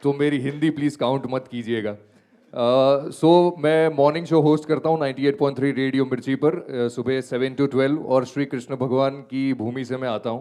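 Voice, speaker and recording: Speaking with a Gujarati accent, a man uses a dark, mellow tone at medium pitch with fairly even intonation. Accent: Gujarati accent in Hindi. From Gujarat, India. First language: Gujarati (speaking Hindi). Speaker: radio host. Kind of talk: panel discussion.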